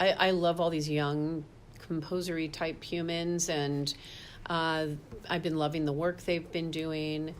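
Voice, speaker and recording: Speaking at a fairly slow pace, a woman keeps a fairly low pitch and a monotone, flat intonation. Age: 60s. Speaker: opera singer. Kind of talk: interview. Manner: halting.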